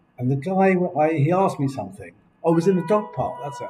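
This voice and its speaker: Over music in the background, a man with a fairly high pitch speaks at a very fast pace with lively intonation. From England. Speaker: video blogger. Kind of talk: casual chat. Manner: animated. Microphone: laptop recording.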